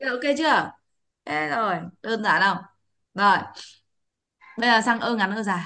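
A woman with a fairly high pitch and a bright, sharp, animated tone speaks with lively intonation at a moderate pace. She takes long, frequent pauses against a quiet background. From Vietnam. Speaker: English pronunciation teacher. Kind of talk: online class lesson. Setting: video call. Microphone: video call.

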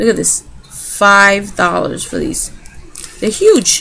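A woman speaks slowly at medium pitch with a fairly bright tone. Faint background noise sits behind her.

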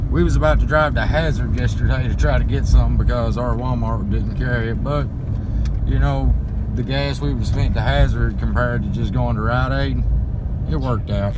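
Loud background noise beneath a moderately paced delivery. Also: man. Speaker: parent vlogger. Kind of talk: casual vlog chat. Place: car. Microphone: phone near.

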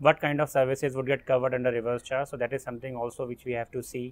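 The sound is dry with no echo as a man speaks. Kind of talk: interview answer. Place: garden.

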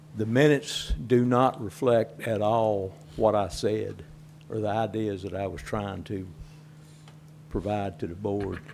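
A man talks at a fairly low pitch with ordinary pitch variation. His pace is fairly slow, with long, frequent pauses. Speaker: citizen speaker. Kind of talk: public comment. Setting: public meeting.

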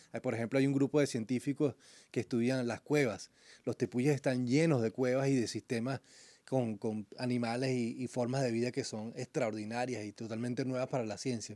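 The man's voice sits at medium pitch with a dark, mellow tone and fairly even intonation. The sound is dry with no echo, over a quiet background. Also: moderate pace. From Venezuela. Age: 40s. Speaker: climber and biologist; guest. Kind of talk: radio interview. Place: studio. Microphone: studio mic.

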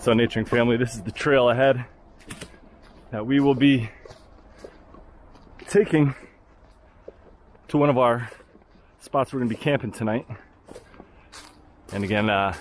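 Recorded with a dry sound with no echo and light background noise, a man speaks at a moderate pace with ordinary pitch variation and long, frequent pauses. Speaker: outdoor vlogger. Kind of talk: casual vlog chat. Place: forest. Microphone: phone near.

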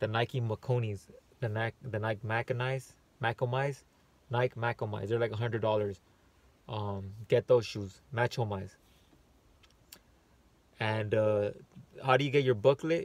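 A fairly slow pace with long, frequent pauses, ordinary pitch variation and a dry sound with no echo. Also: man. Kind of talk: casual vlog tutorial. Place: car. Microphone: phone near.

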